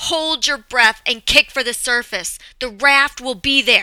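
Shouting in a put-on character voice, a woman uses a high pitch and a bright, sharp tone. She goes at a fairly slow pace with ordinary pitch variation.

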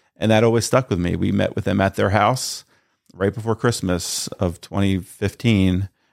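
With an American accent, a man speaks at a moderate pace in a fairly low pitch and fairly even intonation, on a very clean recording with a silent background. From Northern Delaware, US. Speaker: church elder. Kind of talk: testimony.

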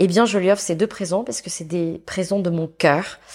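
Fairly low in pitch, a woman speaks at a moderate pace with fairly even intonation. The recording is very clean and the background silent. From France, Saint-Étienne. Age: 40s. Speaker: entrepreneur and consultant. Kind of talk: interview. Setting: studio. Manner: halting.

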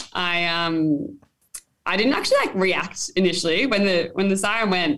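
A woman with an Australian accent, medium in pitch, with lively intonation at a moderate pace. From mid north coast of New South Wales, Australia. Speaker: touch football player. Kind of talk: casual interview. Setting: hotel room.

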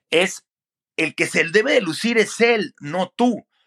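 A man projects a raised voice with a bright, sharp tone and lively intonation. The recording is very clean with a silent background and a dry, close sound with no echo. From Mexico City area. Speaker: sports broadcaster. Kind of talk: interview.

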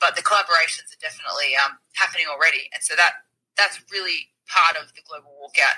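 A woman with an Australian accent, talking at a very fast pace. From Melbourne, Australia. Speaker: activist, movement founder. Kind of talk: interview. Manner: hesitant with fillers.

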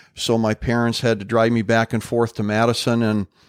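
A man speaks at medium pitch with an Upper Midwest US accent and a moderate pace. The recording is very clean and dry, close with no echo, over a silent background. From Upper Peninsula of Michigan and Wisconsin. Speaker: retired police officer, podcast host. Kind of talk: casual chat.

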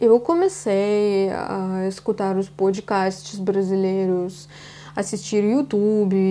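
A woman speaks with a Russian accent at a very slow pace. Her voice has a dark, mellow tone. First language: Russian (speaking Portuguese). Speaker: podcast host. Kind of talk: casual monologue.

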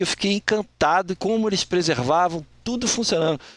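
A man, in a dry, close sound with no echo. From Rio de Janeiro, Brazil. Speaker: retired bank employee and psychologist. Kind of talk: interview storytelling.

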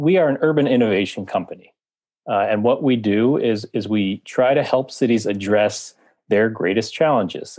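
In a plain, everyday voice, a man speaks at a moderate pace with a medium pitch, ordinary pitch variation and very even loudness, over a quiet background. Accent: American. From US, Washington D.C. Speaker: editorial director and writer on cities. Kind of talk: interview.

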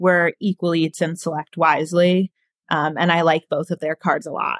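In a very clean recording with a silent background and a dry, close sound with no echo, a woman speaks at a fairly quick pace with a fairly low voice. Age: 20s. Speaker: recent college graduate with food allergies. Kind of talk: interview.

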